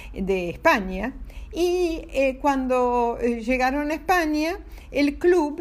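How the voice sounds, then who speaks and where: Her voice is high for a woman and warm in tone, moving at a very slow pace with lively intonation. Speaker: storyteller for children. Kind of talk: bedtime storytelling. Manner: warm, halting with fillers.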